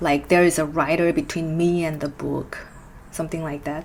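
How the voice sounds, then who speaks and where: A woman with a Korean accent and a fairly low pitch. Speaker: musician and book reviewer. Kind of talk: book review vlog.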